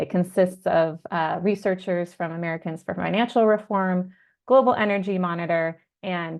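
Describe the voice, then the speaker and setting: With a plain, everyday voice, a woman talks fairly quickly at a fairly low pitch. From Southern California. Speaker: climate researcher and campaigner. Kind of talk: webinar self-introduction.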